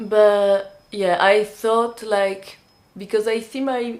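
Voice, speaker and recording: A woman with a French accent speaks at a medium pitch with fairly even intonation. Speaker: vlogger and indie magazine publisher. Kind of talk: personal vlog talk. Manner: halting, many fillers and restarts.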